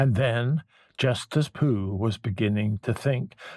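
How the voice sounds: Ordinary pitch variation marks this reading. The voice sounds natural.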